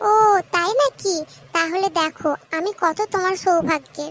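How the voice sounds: An extremely high, squeaky, female-sounding cartoonish character voice moves at a fairly slow pace.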